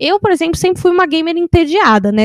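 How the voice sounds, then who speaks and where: A woman speaking at a very fast pace, in a dry, close sound with no echo. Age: 20s. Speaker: podcast host. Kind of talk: casual chat.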